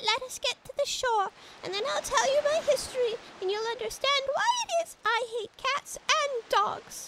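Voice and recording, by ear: A woman's squeaky, extremely high put-on character voice. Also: moderate pace.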